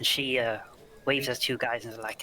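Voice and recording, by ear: A man's bright, sharp voice moves at a moderate pace with fairly even intonation and a medium pitch.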